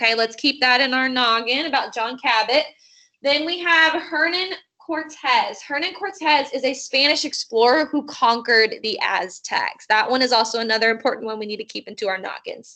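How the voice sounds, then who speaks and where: In a raised, projected voice, a woman speaks at a moderate pace with a high pitch and lively intonation. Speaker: teacher. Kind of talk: online lesson. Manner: animated.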